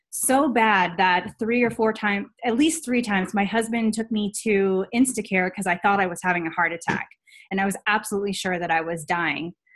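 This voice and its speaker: A woman speaks at a fairly quick pace against a quiet background. Her voice sits at a medium pitch with ordinary pitch variation. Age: 30s. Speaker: health and fitness coach. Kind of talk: personal testimony on a team call. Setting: video call. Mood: earnest, reflective storytelling. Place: home room. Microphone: webcam.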